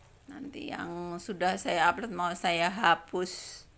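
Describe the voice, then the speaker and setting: Very slow speech with lively intonation and audible room echo. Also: woman. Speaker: home cook vlogger. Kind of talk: cooking tutorial. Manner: chatty, informal.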